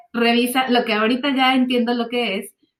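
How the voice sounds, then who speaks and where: A woman's high-pitched voice with a Mexican accent. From Mexico. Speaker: translator, voice-over artist and yoga teacher. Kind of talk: interview answer.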